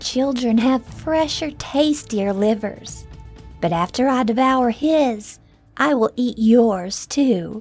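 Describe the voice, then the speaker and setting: A female-sounding put-on character voice cackles at a very slow pace, pitched fairly high. Faint music plays in the background. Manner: menacing, gloating.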